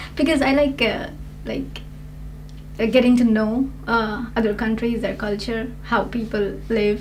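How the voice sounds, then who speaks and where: A woman speaks at a fairly slow pace and fairly high pitch with fairly even intonation, with audible room echo and noticeable background noise. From India. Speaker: language test candidate. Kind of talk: spoken exam interview.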